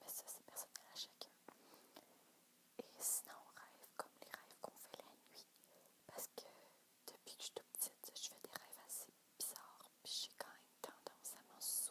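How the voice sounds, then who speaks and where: The speaker whispers with long, frequent pauses while keeping a moderate pace. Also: woman. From Quebec. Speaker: ASMR youtuber. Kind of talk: casual chat to camera. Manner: soft-spoken; halting.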